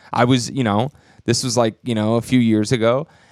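A man at medium pitch with an American accent and an unremarkable speaking voice, at a fairly quick pace, in a dry, close sound with no echo and a very clean recording with a silent background. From Texas. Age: 30s. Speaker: stand-up comedian. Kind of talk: casual chat.

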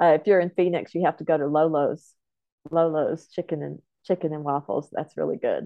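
A woman with an American accent, a very deep, low pitch, fairly even intonation and a fairly quick pace. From Oklahoma, Comanche homelands near Lawton. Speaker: film producer. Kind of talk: casual interview.

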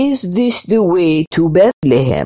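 Using a put-on character voice, a woman speaks at a fairly low pitch with very wide pitch swings. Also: dry, close sound with no echo. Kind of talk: royal, regal.

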